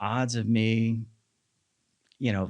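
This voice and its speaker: A man speaks with a fairly low-pitched voice. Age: 40s. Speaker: marketing manager and fitness coach. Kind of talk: podcast interview.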